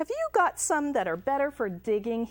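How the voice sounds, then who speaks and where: Put-on character voice at a moderate pace, with very wide pitch swings. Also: woman, high pitch for a woman. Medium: read story.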